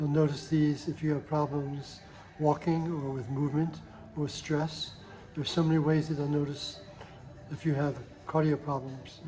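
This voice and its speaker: A man with a fairly high pitch speaks at a moderate pace, in a monotone, flat intonation. Long, frequent pauses break up his speech, and noticeable background noise is present. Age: 70s. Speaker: diabetes program coach. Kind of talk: health advice monologue. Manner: halting, repeats words.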